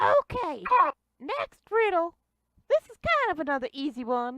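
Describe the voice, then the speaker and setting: A put-on character voice from a woman, extremely high in pitch with very wide pitch swings. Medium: actual play. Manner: odd, folksy phrasing.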